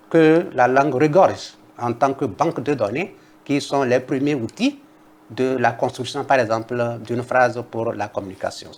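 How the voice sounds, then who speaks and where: At a fairly slow pace, a man speaks with a Togolese accent. His pitch is medium, with ordinary variation. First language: Kabye (speaking French). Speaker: linguist, university professor. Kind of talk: TV interview. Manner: formal.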